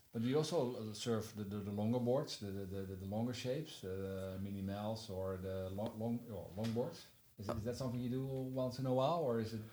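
The speech runs at a fairly quick pace with hardly any pauses and ordinary pitch variation. Audible room echo and noticeable background noise are present. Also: man, medium pitch for a man. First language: Dutch. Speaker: podcast host. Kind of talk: interview.

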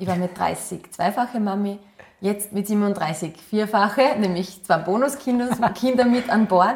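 A woman's very slow speech with an Upper Austrian accent, medium pitch and ordinary pitch variation. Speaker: model and former athlete. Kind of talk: interview.

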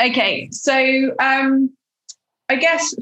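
A woman speaks with a British accent. Her voice is somewhat breathy. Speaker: podcast host interviewer. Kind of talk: casual interview chat.

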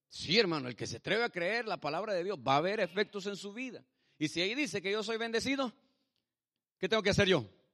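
A man talks at a very fast pace, high-pitched and animated, with a bright, sharp tone and lively intonation. The sound is dry and close with no echo over a quiet background. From El Salvador. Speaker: pastor. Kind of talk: sermon. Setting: church.

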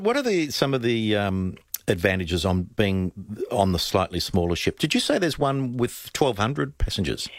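Speaking with an Australian accent at a moderate pace and medium pitch, a man swings very widely in pitch while keeping his loudness very even, in a very clean recording with a silent background. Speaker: radio host. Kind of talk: radio interview, casual chat. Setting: radio studio.

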